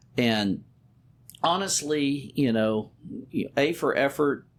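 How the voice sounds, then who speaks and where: Lively intonation from a man in an American accent. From Texas, Beaumont area. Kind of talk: interview. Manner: occasional word blocks and substitutions.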